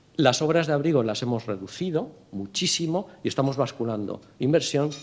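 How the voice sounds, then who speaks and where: His voice sits in the medium range, and the pitch varies in an ordinary way. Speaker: port authority president. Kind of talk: interview at a business breakfast. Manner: fast; stumbles over words.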